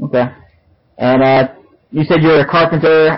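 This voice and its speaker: A man with a plain, everyday voice talks at a fairly quick pace with fairly even intonation. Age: 30s. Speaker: podcast host. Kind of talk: casual interview. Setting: remote call. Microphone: recorded through laptop built-in mic, sounds poor.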